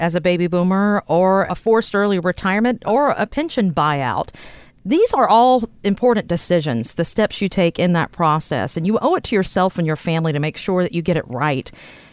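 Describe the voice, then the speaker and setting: An unremarkable speaking voice from a woman, medium in pitch with lively intonation, on a very clean recording with a silent background. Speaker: co-host radio. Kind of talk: casual chat.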